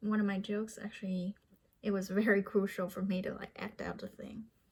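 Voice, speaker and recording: Somewhat breathy, fairly high female voice with a slight non-native accent, at a fairly quick pace. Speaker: vlogger and aspiring comedian. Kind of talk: casual vlog monologue.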